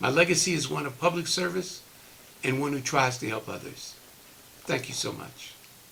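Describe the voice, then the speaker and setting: A man's fairly high voice with ordinary pitch variation, long, frequent pauses and noticeable background noise. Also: moderate pace. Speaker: retired politician. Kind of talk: testimonial speech. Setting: recorded virtual program.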